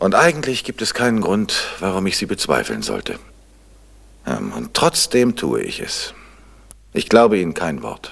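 Putting on a character voice, a man speaks fairly slowly at a low pitch, with a fairly bright tone, a slightly husky edge, vocal fry and very wide pitch swings.

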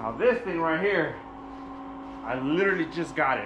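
Ordinary pitch variation in fairly quick talking, noticeable background noise underneath. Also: man. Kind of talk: casual vlog tour. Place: garage.

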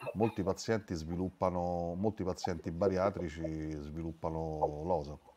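A man's very deep, low voice, dark and mellow, at a very slow pace with fairly even intonation and a Roman accent. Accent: Roman Italian. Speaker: webinar moderator. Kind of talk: casual chat. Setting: video call. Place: home room. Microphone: video call.

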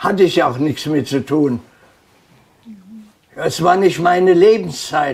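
The speaker is a man with a fairly high pitch. He talks at a very slow pace. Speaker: contemporary witness. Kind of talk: interview answer. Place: home room. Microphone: lapel.

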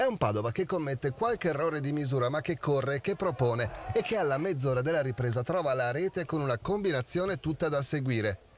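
Very fast and animated, a man with a fairly high pitch delivers a dramatic, somewhat breathy performance with lively intonation. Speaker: sports commentator. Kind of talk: sports commentary, recorded voiceover of match highlights. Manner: animated, fast-paced, punchy, dramatic delivery.

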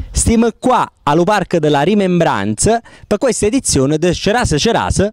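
A man with a high pitch speaks at a moderate pace. His loudness stays very even. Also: lively intonation. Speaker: news presenter. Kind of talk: TV news feature narration.

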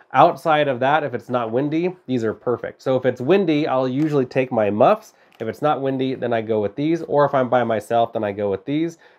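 A man talking at a fairly quick pace with hardly any pauses and ordinary pitch variation. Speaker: product reviewer. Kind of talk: product review talk to camera. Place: home room.

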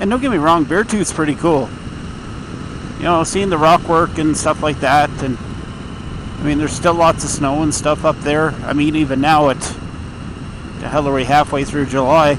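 A man speaks at a moderate pace with ordinary pitch variation. The sound is dry with no echo, and there is noticeable background noise. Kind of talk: casual vlog chat. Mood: relaxed, reflective. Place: motorbike. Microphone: helmet.

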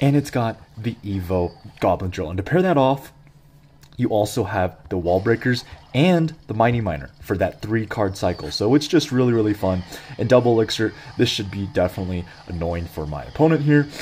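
A man's lively, fairly quick speech is heard through noticeable background noise. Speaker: gaming youtuber. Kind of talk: gameplay commentary. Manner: animated.

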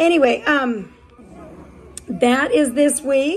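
Lively intonation from a woman over music in the background. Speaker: dog breeder. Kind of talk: casual video walkthrough. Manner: yawning; talks to puppies in baby talk.

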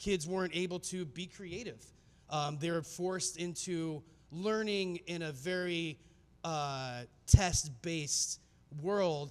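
At a very slow pace, a man with a high pitch and ordinary pitch variation speaks with big swings in loudness. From US Southwest, Phoenix, Arizona. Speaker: filmmaker and speaker; speaker. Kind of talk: conference talk. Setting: stage with audience. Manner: casual, many filler words. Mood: earnest, reflective storytelling. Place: hall. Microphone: handheld.

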